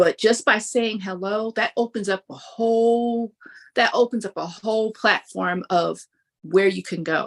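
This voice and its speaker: An ordinary speaking voice moves at a fairly slow pace with ordinary pitch variation, recorded with a dry, close sound, no echo, and a quiet background. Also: woman, fairly high pitch for a woman. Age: 60s. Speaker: higher education professional, event speaker. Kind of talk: interview. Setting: livestream.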